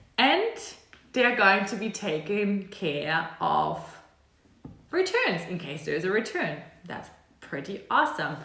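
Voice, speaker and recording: A woman speaks very slowly in a German accent. There is audible room echo. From Germany. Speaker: e-commerce consultant and video creator. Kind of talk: tutorial. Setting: home apartment. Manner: casual, conversational with fillers.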